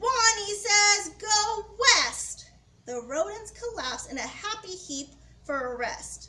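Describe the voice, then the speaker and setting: Speaking at a fairly slow pace, a woman performs a put-on, squeaky character voice pitched extremely high. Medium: read story.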